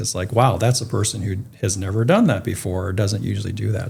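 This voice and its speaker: Somewhat breathy, a man talks at a fairly quick pace. His voice sits fairly low. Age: 60s. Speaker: retired philanthropy leader and activist. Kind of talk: interview. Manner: halting.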